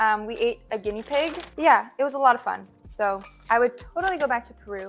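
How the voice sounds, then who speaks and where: The speaker has a Canadian accent and lively intonation. Music plays in the background. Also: woman. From Ontario, Canada. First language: French. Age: 20s. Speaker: vlogger. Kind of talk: casual Q&A vlog. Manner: casual, filler-heavy.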